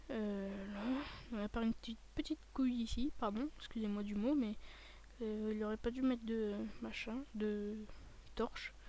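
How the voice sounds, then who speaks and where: Speaking at a fairly slow pace, a woman has a fairly high pitch, a dark, mellow tone and fairly even intonation. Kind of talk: casual video game commentary. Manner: hesitant, rambling.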